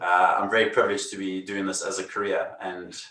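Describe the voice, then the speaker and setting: With a South African accent, a man talks at a fairly quick pace. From South Africa, Cape Town. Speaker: magician. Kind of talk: casual interview.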